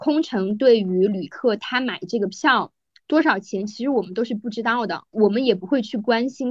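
A woman with an unremarkable speaking voice talks fairly high, at a moderate pace, with ordinary pitch variation. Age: 30s. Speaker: podcast host, former flight attendant, journalist. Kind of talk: casual chat.

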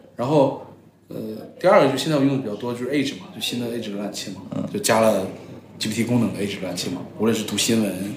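A man with a medium-pitched voice talks at a very fast pace with ordinary pitch variation. Noticeable background noise and audible room echo fill the recording. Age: 30s. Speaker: corporate strategy executive, former venture capitalist. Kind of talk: casual interview chat.

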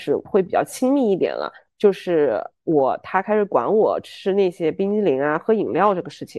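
A woman at a medium pitch talks at a fairly quick pace with lively intonation and an animated tone. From Chengdu, Sichuan, China. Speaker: podcast co-host. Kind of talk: casual chat.

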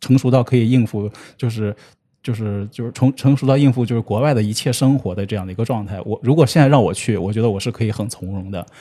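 Over a quiet background, a man with a medium pitch and a dark, mellow tone speaks at a very fast pace. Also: ordinary pitch variation. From Shanxi, northern China. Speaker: internet company business professional. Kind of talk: casual interview.

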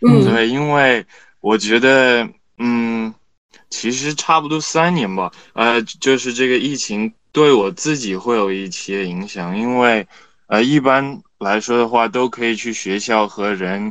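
Very slow speech from a man, medium in pitch and ordinary in pitch variation. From China. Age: young. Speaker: student. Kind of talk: casual chat. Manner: halting, many fillers.

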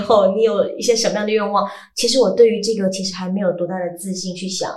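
A medium-pitched woman talks at a fairly quick pace in an animated tone. Noticeable background noise can be heard. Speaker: voice actor. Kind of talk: casual chat.

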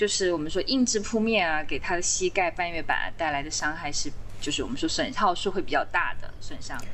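The room echo is audible here. A woman delivers her lines at a fairly quick pace. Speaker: trail builder and permaculture designer. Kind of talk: podcast interview.

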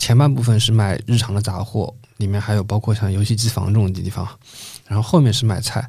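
This man talks at a fairly quick pace with a fairly low, somewhat breathy voice and ordinary pitch variation. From Shanghai (Changning district). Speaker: podcast host. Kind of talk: casual chat.

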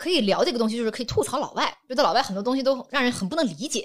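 A woman speaks with very wide pitch swings. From Guangdong, southern China. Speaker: social media creator and producer. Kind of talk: casual interview chat.

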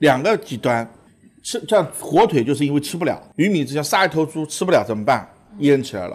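An animated man talks fairly quickly at a fairly high pitch with very wide pitch swings. The recording is very clean, with a silent background. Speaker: restaurant owner and chef. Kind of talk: casual chat over a meal, explaining food. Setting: restaurant during a meal.

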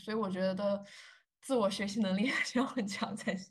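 A woman's voice comes through somewhat breathy, moving at a fairly quick pace. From China. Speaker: journalist. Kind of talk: interview.

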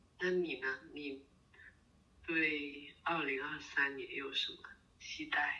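The delivery is very slow. Long pauses come often. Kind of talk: casual chat. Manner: halting, many fillers and repeats.

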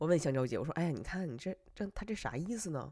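A man speaks at a high pitch in an animated tone. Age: 30s. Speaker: podcast host. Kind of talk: casual monologue storytelling.

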